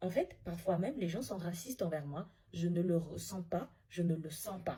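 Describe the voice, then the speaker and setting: A woman talks at a moderate pace with a fairly low pitch and ordinary pitch variation. Her tone is dark and mellow, and somewhat breathy. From Africa. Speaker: social media commentator. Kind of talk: casual vlog monologue. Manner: halting with repetitions.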